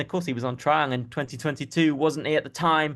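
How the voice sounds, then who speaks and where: The speaker uses ordinary pitch variation over a quiet background. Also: man. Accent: southern English. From southern England. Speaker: football journalist. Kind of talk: casual chat.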